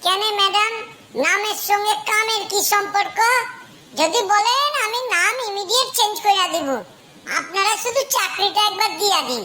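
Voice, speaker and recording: A woman does a cartoonish character voice at an extremely high pitch and a moderate pace, with clear background noise behind her. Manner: eager, rambling, comically overconfident.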